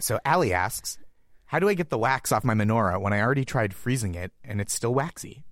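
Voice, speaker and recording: This is a man with an ordinary speaking voice and an American accent. He talks at a fairly quick pace. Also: medium pitch for a man, very clean recording, silent background. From Massachusetts, US. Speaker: comedian. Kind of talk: casual chat.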